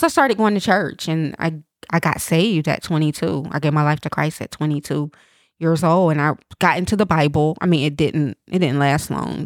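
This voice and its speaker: Someone with an American accent speaks at a moderate pace. The sound is dry and close with no echo, on a very clean recording with a silent background. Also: woman. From East Tennessee, US South. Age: 40s. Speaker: entrepreneur and trafficking survivor. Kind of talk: interview, personal testimony.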